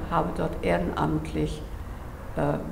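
The voice belongs to a woman. Noticeable background noise sits behind her. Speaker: gallery owner. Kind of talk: interview answer. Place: home room.

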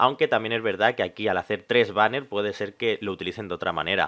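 The man's voice sits fairly low, heard over a quiet background. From Spain. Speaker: gaming youtuber. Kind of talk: casual video commentary; commentary over gameplay. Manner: calm, relaxed; hesitant fillers (eh, vale). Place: home room. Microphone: headset.

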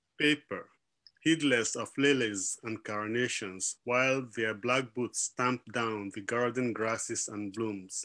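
Over a quiet background, a man speaks very slowly in a bright, sharp tone with ordinary pitch variation. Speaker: literary editor and publisher. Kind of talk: event welcome. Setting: video call. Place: home room. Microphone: webcam.

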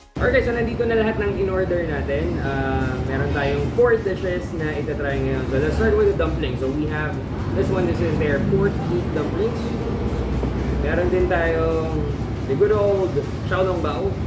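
Music sounds in the background. Over it, a man speaks fairly slowly. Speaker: food vlogger host. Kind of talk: casual vlog chat. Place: cafe. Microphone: camera far.

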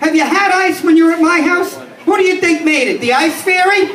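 Over light background noise and audible room echo, a man speaks at an extremely high pitch. He keeps a moderate pace with ordinary pitch variation. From New York City, the Bronx. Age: 50s. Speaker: stand-up comedian. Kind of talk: stand-up. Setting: stage with small audience. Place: bar.

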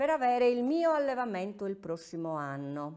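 A woman speaks at a fairly slow pace with very wide pitch swings. The background is quiet. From Sardinia, Orgosolo (Barbagia); Sardinia. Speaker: silk artisan. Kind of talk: interview. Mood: warm, nostalgic. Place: workshop.

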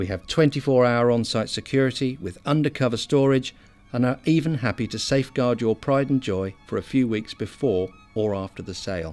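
Music plays in the background while a man speaks. His voice is medium-pitched and his pace fairly quick. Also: ordinary pitch variation.

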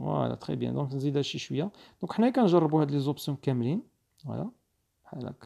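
The words come out very fast. Behind them the background is silent, and the recording is very clean. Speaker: video editing instructor. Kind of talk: screen-recorded tutorial.

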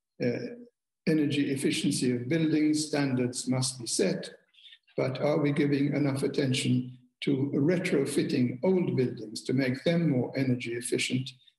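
A man with a fairly high pitch and a somewhat breathy voice talks at a fairly slow pace, with fairly even intonation and very even loudness, some audible room echo, and a quiet background. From Malta. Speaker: former diplomat; speaker. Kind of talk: keynote speech. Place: home room. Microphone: webcam.

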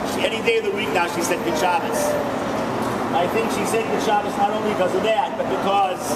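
A man at a very fast pace over loud background noise. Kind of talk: eulogy remarks. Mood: emotional, reverent remembrance. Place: station. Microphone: phone near.

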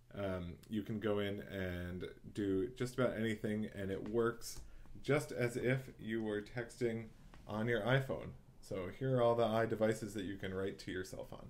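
A man speaks in an unremarkable speaking voice, fairly low in pitch. His intonation stays fairly even at a moderate pace. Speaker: tutorial host. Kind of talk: tutorial. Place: home room. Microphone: webcam.

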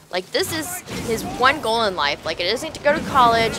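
A woman speaks in a playful tone, her pitch swinging very widely. Music plays in the background. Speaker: gaming YouTuber. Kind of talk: live gaming commentary. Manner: casual, chatty, playful banter with the game.

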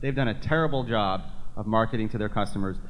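A man talks at a very fast pace with an American accent. His pitch is medium. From Massachusetts. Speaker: state legislator. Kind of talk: panel forum discussion. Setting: stage with audience, microphone. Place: hall. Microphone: studio mic.

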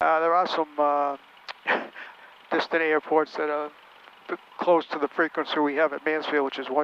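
A man's voice at a moderate pace, dry with no echo. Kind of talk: casual vlog commentary. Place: plane. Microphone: headset.

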